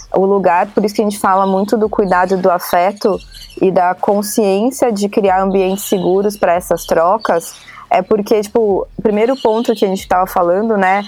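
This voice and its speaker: A woman speaks in a plain, everyday voice at a medium pitch. Her intonation is fairly even. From São Paulo, Brazil. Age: 30s. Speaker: branding and education program lead. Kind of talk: casual interview.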